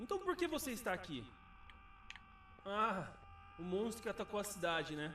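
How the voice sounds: In a put-on character voice, the speaker moves at a fairly quick pace, with a bright, sharp tone and big pitch swings. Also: man, high pitch for a man.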